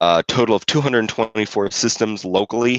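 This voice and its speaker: A quiet man at a moderate pace, with fairly even intonation. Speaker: competition organizer. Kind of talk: awards ceremony speech. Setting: live stream. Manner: hesitant, many fillers.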